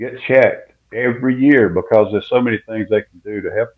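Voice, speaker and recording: Speaking at a fairly quick pace, a man talks with a South Carolina accent. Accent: Southern US (South Carolina). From US South, South Carolina (Winnsboro). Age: 70s. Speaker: retired football coach. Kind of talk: radio interview.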